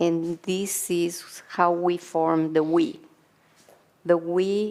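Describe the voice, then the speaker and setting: The speech moves at a very slow pace with monotone, flat intonation. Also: woman. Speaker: community therapist. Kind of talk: conference talk.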